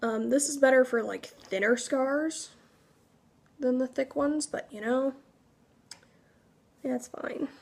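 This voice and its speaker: A woman's high-pitched voice at a fairly slow pace, with long, frequent pauses, fairly even intonation and big swings in loudness. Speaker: cosplay makeup tutorial creator. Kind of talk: tutorial. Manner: casual, filler-heavy.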